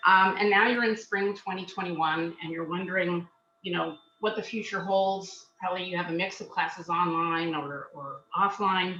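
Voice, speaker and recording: A woman at medium pitch with fairly even intonation. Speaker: job search skills coach. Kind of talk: webinar presentation. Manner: loud; fast.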